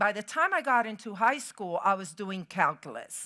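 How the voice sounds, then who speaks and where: With a Spanish accent, a woman speaks at a fairly high pitch in a bright, sharp tone with lively intonation, on a very clean recording with a silent background. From Puerto Rico. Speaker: keynote speaker, chemical engineer. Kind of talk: motivational keynote speech. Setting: stage with audience.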